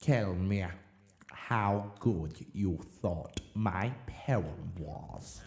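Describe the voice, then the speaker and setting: A man speaks at a very slow pace in a put-on character voice. His pitch sits fairly low. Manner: impassioned, strident.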